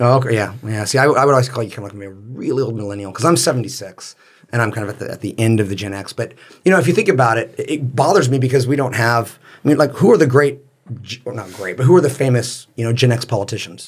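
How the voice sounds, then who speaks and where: A man speaks at a very fast pace in an American accent, his pitch medium and somewhat breathy. His loudness swings widely while his pitch varies in an ordinary way. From California. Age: 40s. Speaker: teacher and author. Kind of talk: interview.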